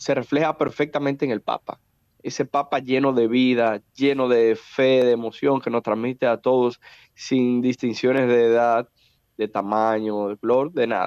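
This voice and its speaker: A man speaks in a plain, everyday voice at a medium pitch with fairly even intonation. His fairly slow pace comes through in a dry, close sound with no echo. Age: 30s. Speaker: politician. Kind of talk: interview.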